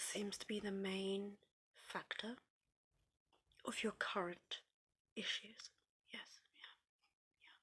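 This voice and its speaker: The speaker whispers in a British accent. The pace is very slow. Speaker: ASMR creator. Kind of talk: therapy role play, one-sided ASMR talk to the listener. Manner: whispering, comforting.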